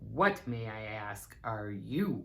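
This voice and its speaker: A woman's put-on character voice, growling and very deep and low in pitch. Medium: read story. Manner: dignified.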